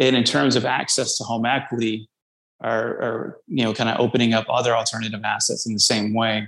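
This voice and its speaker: Delivered in an American accent, the speech comes at a fairly quick pace with monotone, flat intonation. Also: man, medium pitch for a man. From US South, North Louisiana. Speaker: startup CEO. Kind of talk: interview.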